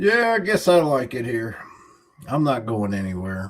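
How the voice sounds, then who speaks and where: Speaking fairly slowly, the man has a Southern US accent. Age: 60s. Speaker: YouTuber. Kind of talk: livestream chat. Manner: casual.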